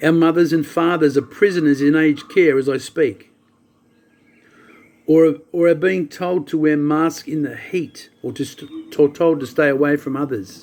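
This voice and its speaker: A man talks at a moderate pace with a fairly high pitch in a normal speaking voice. His intonation stays fairly even. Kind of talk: spoken-word soliloquy reading.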